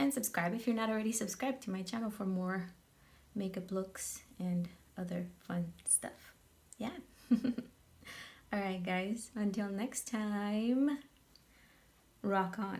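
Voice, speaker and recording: Speaking at a very slow pace with long, frequent pauses, a woman's somewhat breathy, medium-pitched voice shows ordinary pitch variation. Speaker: makeup tutorial youtuber. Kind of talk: casual vlog chat; tutorial.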